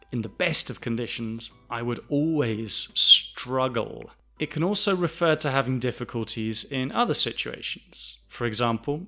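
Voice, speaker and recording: A man with a southern English accent talks at a fairly slow pace and a medium pitch, his tone bright and sharp. His pitch varies in an ordinary way, and the recording is very clean with a silent background. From south of England. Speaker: English teacher. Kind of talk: lesson. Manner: slow, clear.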